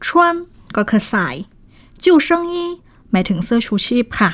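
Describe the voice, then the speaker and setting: In a very clean recording with a silent background, a woman's voice swings very widely in pitch. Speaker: Chinese language teacher and radio co-host. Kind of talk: language lesson.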